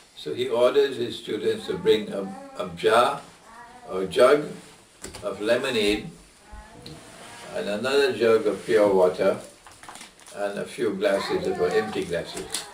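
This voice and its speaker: With long, frequent pauses, a man speaks amid noticeable background noise and audible room echo. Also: fairly slow pace. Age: 70s. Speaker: islamic scholar. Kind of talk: q&a lecture.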